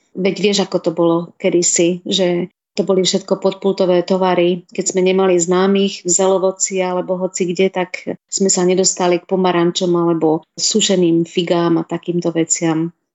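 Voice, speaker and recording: A woman at medium pitch, with monotone, flat intonation and a moderate pace. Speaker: food blogger and hospital nutrition worker. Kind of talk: radio interview.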